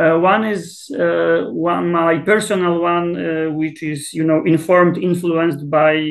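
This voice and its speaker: Speaking with a Polish accent, a man with a high pitch talks at a fairly slow pace with hardly any pauses. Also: fairly even intonation. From Poland. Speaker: South Asia expert, political scientist. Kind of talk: interview. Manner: hesitant, many fillers and repetitions.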